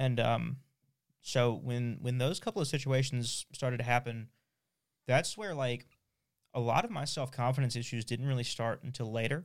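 At a moderate pace and medium pitch, a man talks with fairly even intonation in an unremarkable speaking voice. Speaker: podcast host. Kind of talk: casual chat.

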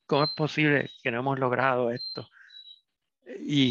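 Fairly even intonation carries a bright, sharp tone. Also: man. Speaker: pediatrician. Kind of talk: interview.

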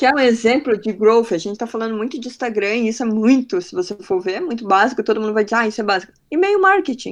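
A woman with a fairly high pitch speaks at a very fast pace, with hardly any pauses. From Belém do Pará, northern Brazil. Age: 30s. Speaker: growth marketing specialist. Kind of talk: casual interview.

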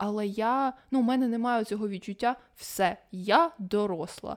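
A woman's fairly high voice, an unremarkable speaking voice, shows ordinary pitch variation. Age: 20s. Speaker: podcast co-host. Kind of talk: casual chat.

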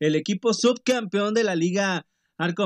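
A man speaks in an animated tone. The sound is dry and close, with no echo. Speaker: baseball podcast host. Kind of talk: sports podcast recap.

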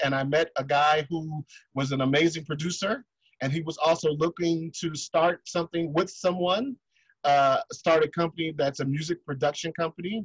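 A man speaks at a moderate pace with a fairly high pitch and fairly even intonation. His voice is somewhat breathy, and the sound is dry and close with no echo. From Detroit, US Midwest. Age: 40s. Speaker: singer. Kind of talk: interview.

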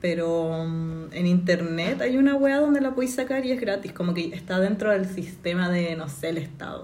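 With a Chilean accent, a woman speaks at a moderate pace with hardly any pauses, her fairly low, somewhat breathy voice carrying lively intonation. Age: 20s. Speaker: journalism graduate, podcast guest. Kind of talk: casual chat.

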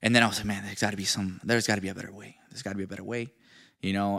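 Recorded very cleanly with a silent background, a man with a slight Venezuelan accent speaks in a fairly low pitch. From Venezuela, Maracaibo (moved to US at eight). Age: 20s. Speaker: realtor and entrepreneur. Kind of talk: interview, personal life story.

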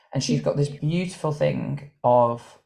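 A dark, mellow tone comes through, somewhat breathy. The pace is moderate. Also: man. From Ireland, Cork. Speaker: dancer and choreographer. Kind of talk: casual interview.

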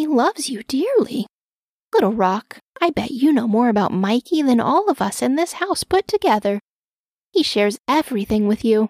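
A woman's put-on character voice, fairly high-pitched with big pitch swings, slightly mellow with a slightly husky edge, at a moderate pace in a dry, close sound with no echo

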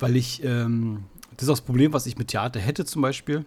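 Talking fairly quickly, a man with a somewhat breathy, medium-pitched voice shows ordinary pitch variation. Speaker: podcast host. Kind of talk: casual chat.

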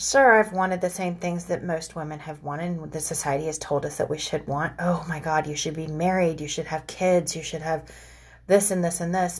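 This woman's voice is fairly low and somewhat breathy. She keeps a moderate pace. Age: 40s. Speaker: podcast host. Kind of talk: casual monologue.

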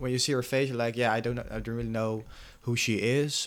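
A man with a Dutch accent talks at a fairly quick pace and a medium pitch. His intonation stays fairly even. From Netherlands. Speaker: podcast co-host. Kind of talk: casual chat. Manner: halting.

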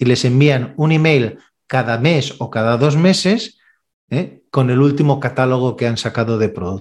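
An ordinary speaking voice from a man, medium in pitch, with ordinary pitch variation at a fairly slow pace. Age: 50s. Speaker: sales trainer. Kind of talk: interview.

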